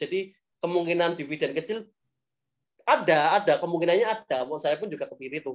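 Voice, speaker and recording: A man talks with lively intonation. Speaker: stock investing speaker. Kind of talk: webinar Q&A.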